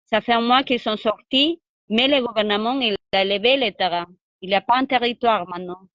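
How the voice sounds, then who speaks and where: The woman's voice has ordinary pitch variation and a moderate pace, with a dry, close sound and no echo. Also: fairly high pitch for a woman. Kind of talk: interview. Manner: halting.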